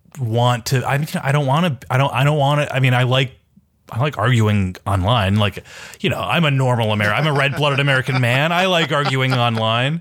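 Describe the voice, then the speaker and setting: Heard here is an ordinary speaking voice, a man's, with ordinary pitch variation at a moderate pace. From Minneapolis, US Midwest. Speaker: journalist and newsletter writer. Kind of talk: casual political discussion.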